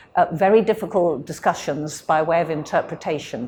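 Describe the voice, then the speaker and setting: With a British accent, a woman speaks in a fairly low pitch. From UK. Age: 70s. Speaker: interviewee, descendant of a missionary. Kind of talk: interview. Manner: hesitant, many fillers.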